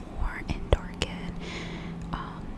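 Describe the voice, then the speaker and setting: Whispering in a gentle tone at a fairly slow pace, a woman is heard over noticeable background noise. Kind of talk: ASMR makeup tutorial talking to camera. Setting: close microphone, home recording. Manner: whispered, gentle.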